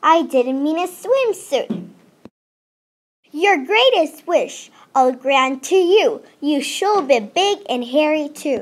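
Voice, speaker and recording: A woman puts on a character voice. She speaks very slowly at a high pitch. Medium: read story. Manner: sing-song incantations.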